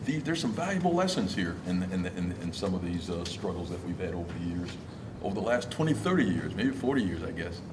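A man talks at a fairly quick pace, his pitch very deep and low, with lively intonation. Noticeable background noise runs behind him. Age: old. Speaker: union leader, audience member; audience member. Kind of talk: audience question. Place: hall.

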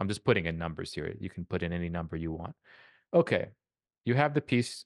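Against a quiet background with a dry sound and no echo, the speech races at a very fast pace with lively intonation. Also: man. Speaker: composition professor. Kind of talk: masterclass teaching. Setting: live video call. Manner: casual, repeats words often. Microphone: studio mic.

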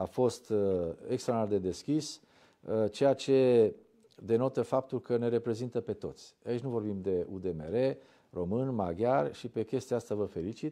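In a quiet background, a man with a dark, mellow tone speaks fairly slowly, his pitch varying in an ordinary way. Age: young. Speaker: TV host. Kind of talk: interview. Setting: studio. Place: studio. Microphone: lapel.

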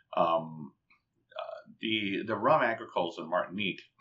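This man's delivery is fairly slow. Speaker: rum and cocktail writer, former software engineer; guest. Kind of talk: long-form interview. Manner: halting, many fillers and repetitions. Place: home room. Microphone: webcam.

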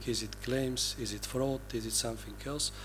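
Male speech with light background noise behind it. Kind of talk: conference presentation. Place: hall. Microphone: podium.

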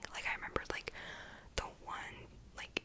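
Keeping a moderate pace, a woman talks in a whisper. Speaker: ASMR creator. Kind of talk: casual book review talk to camera. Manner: whispered. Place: home room. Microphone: studio mic.

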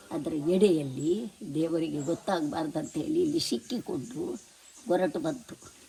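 A woman talks with lively intonation at a fairly low pitch. Noticeable background noise runs underneath. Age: 80s+. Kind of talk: folk tale told to family.

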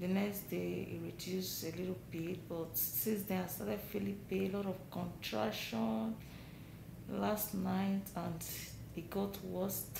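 Through noticeable background noise, a woman speaks at a fairly slow pace. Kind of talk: casual vlog chat. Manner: tired, pained voice during contractions. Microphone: phone near.

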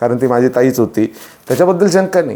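A man speaks with lively intonation. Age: 40s. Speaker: social commentator vlogger. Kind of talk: opinion monologue. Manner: impassioned.

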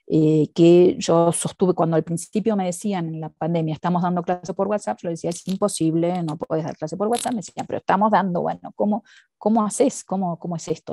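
In a dry sound with no echo, a woman talks at a fairly quick pace, her fairly low voice dark and mellow with fairly even intonation. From Argentina. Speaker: education researcher and professor; guest. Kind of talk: interview conversation. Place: home room.

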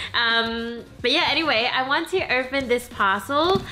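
Female voice against noticeable background noise. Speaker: lifestyle vlogger. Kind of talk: casual vlog chat. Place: home room. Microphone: camera far.

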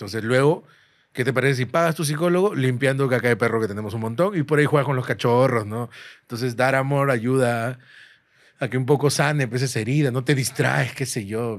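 A man talks at a fairly quick pace with a medium pitch and ordinary pitch variation. The background is quiet. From Peru. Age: 30s. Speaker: stand-up comedian. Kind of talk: casual chat. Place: studio. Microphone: studio mic.

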